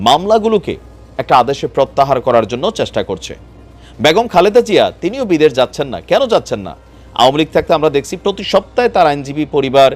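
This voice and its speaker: Very wide pitch swings in a man's voice set fairly high. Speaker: political news YouTuber. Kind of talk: news commentary. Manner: laughs while talking; casual, conversational.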